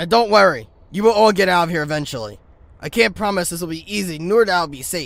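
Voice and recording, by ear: Doing a put-on character voice, a man speaks fast at a high pitch with vocal fry, a fairly bright tone and lively intonation.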